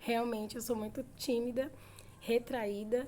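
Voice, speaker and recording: A woman speaks fairly slowly in a dark, mellow tone at a fairly high pitch. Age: 30s. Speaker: vlogger. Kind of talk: casual chat.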